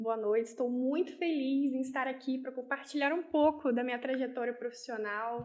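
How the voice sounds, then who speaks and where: A woman's high voice with fairly even intonation at a moderate pace. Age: 20s. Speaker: business owner and language teacher. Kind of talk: interview.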